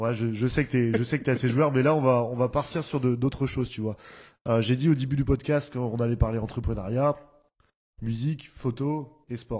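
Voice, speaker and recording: Fairly even intonation and a moderate speed in a plain, everyday voice. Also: man, medium pitch for a man. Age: 20s. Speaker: podcast host and DJ. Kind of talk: casual interview.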